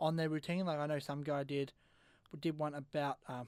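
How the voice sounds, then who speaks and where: With an Australian accent, a man talks at a very fast pace. His fairly high voice keeps a monotone, flat intonation. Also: very clean recording, silent background. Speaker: radio host and amateur comedian. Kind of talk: casual chat.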